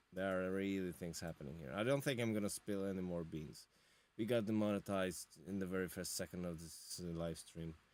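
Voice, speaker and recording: A man talks at a fairly quick pace with a non-native accent. His voice is very deep and low, with ordinary pitch variation. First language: not English. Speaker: music reviewer, drummer and guitarist. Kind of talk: live-stream album review. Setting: home studio live stream. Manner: animated; halting.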